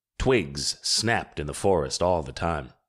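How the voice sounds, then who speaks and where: Very deep and low, a man's voice carries vocal fry. The recording is very clean, with a silent background. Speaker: audiobook narrator. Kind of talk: audiobook narration.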